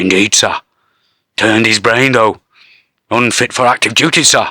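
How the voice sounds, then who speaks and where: A man puts on a raspy character voice. His pitch is medium and his pace moderate. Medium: read story. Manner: deferential, repeatedly says sir.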